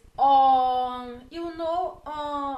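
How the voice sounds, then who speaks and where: Ordinary pitch variation marks a woman's high-pitched voice. Audible room echo surrounds her. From Brazil, Bahia. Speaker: vlogger. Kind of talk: casual vlog talk to camera.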